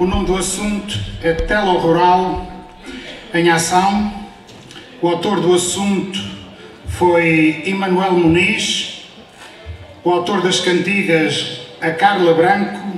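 The speech is very slow, with long, frequent pauses and a monotone, flat intonation. Audible room echo and light background noise sit behind it. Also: man, high pitch for a man. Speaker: event host, announcer. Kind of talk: stage announcement. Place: hall.

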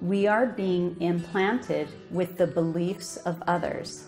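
With clear music in the background, a woman speaks at a very slow pace in a fairly low pitch and fairly even intonation. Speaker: minister giving a talk. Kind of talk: sermon. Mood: calm, earnest. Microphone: podium.

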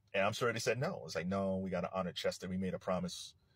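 A man's very fast speech, with a quiet background and dry sound with no echo. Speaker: commentator. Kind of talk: casual commentary. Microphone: phone near.

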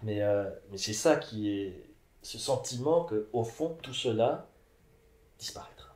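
A man's somewhat breathy voice at a very slow pace, with long, frequent pauses, ordinary pitch variation and audible room echo. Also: big swings in loudness. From Mexico. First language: Spanish (speaking French). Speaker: philosopher; interviewee. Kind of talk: interview. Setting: at his home. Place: home room. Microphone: camera far.

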